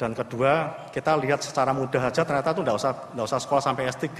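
At a very fast pace, a man talks with a medium pitch and fairly even intonation. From Indonesia. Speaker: naval physician; conference presenter. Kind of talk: conference presentation. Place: hall.

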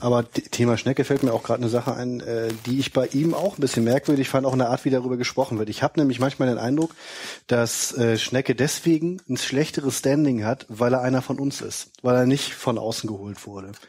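Talking at a fairly quick pace, a man with a medium pitch keeps his intonation fairly even. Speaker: podcast co-host. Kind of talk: casual chat. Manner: jokey.

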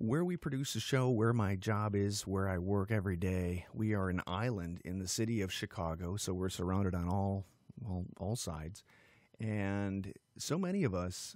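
A man talks at a fairly low pitch and a moderate pace, with ordinary pitch variation. The background is quiet and the sound is dry with no echo. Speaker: radio show host. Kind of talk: podcast monologue. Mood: serious, heartfelt, troubled. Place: office. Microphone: studio mic.

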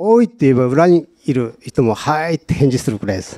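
With a dark, mellow tone, a man speaks at a moderate pace with lively intonation over a quiet background. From Hokkaido, small northern island. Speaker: tuna fisherman; guest. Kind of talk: live talk show. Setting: event studio with live audience. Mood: earnest, animated at times. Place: hall. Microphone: handheld.

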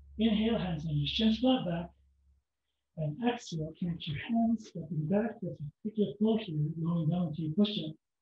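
The pace is moderate, with ordinary pitch variation. Audible room echo and light background noise come through. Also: man, high pitch for a man. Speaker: yoga instructor. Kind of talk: guided yoga class with step-by-step pose and breath cues. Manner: steady instructive pacing, gentle imperatives. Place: home room. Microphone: camera far.

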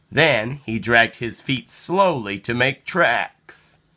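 A bright, sharp tone carries slow speech with lively intonation. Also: man, medium pitch for a man.

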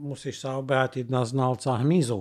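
A man speaks fairly slowly, with a quiet background behind him. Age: 50s. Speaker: former criminal profiler. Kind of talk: interview. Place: studio. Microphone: studio mic.

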